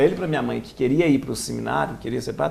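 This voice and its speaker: A man with a Minas Gerais accent, over noticeable background noise. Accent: mineiro. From Minas Gerais, Brazil (Lavras). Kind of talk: interview. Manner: halting, with many restarts.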